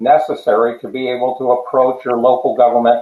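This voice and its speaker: In an American accent, a man speaks at a moderate pace with a medium pitch. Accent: New Jersey, occasional. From New Jersey. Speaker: tiny home advocate. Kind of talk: casual chat. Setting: live stream.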